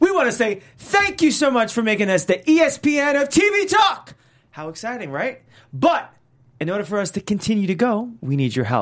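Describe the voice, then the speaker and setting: Talking at a fairly quick pace, a man uses an extremely high pitch with very wide pitch swings. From New York. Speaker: TV after-show co-host. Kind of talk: casual episode recap chat.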